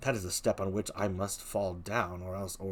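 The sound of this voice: Simply an unforced reading voice.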